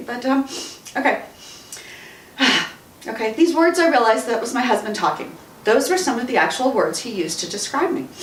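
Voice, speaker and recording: Over noticeable background noise, a woman with an American accent speaks at a fairly quick pace in a high pitch, with very wide pitch swings and long, frequent pauses. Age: 50s. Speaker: radio talk show host and author. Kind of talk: author reading own book. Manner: emotional, tearful.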